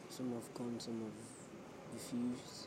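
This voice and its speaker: A woman's quiet, mumbled speech, very deep and low in pitch, at a very slow pace, with noticeable background noise. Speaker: startup founder podcaster. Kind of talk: solo personal audio journal. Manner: mumbling, hard to hear; halting, informal, self-deprecating.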